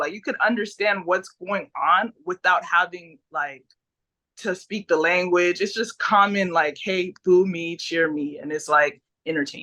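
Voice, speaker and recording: A woman with a Haitian accent, medium in pitch, at a moderate pace with ordinary pitch variation. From Haiti, moved to US at age four. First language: Haitian Creole. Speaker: pro wrestler. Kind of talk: interview.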